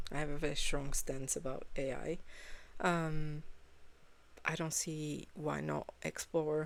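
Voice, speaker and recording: A woman with a non-native accent speaks very slowly at a very deep, low pitch, her intonation fairly even. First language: not English. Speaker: reaction video creator. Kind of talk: casual reaction commentary. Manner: halting, frequent fillers.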